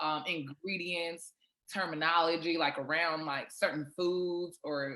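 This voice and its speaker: With a fairly low pitch and fairly even intonation, a woman speaks. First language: Shona. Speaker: professional basketball player and cook. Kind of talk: casual podcast interview.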